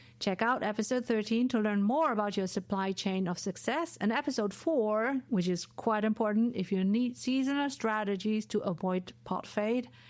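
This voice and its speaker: A fairly high woman's voice at a moderate pace with hardly any pauses, ordinary pitch variation and very even loudness, in a very clean recording with a silent background. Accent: German. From Germany. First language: German. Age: 40s. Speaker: podcast host and professor. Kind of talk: solo podcast monologue. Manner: animated.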